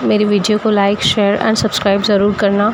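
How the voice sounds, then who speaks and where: A woman talks at a fairly high pitch. Background noise is noticeable. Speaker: embroidery tutorial creator. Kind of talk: tutorial. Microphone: phone mic, no external microphone.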